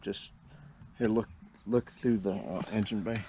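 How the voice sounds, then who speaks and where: Mumbling at a moderate pace, a man speaks with fairly even intonation at a fairly low pitch, his tone dark and mellow. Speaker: home mechanic. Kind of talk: tutorial.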